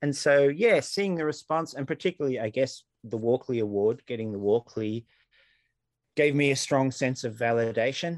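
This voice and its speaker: Recorded dry and close with no echo, a man talks at a moderate pace with ordinary pitch variation and an ordinary speaking voice. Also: medium pitch for a man. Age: 40s. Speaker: comics artist and author. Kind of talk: interview.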